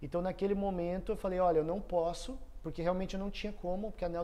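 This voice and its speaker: Audible room echo surrounds a man talking at a very fast pace, his high pitch carrying a dark, mellow tone. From southern Brazil, Foz do Iguaçu, Paraná. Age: 30s. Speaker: entrepreneur and electrical engineer. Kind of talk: casual interview.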